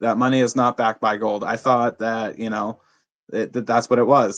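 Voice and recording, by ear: Man at a medium pitch and moderate pace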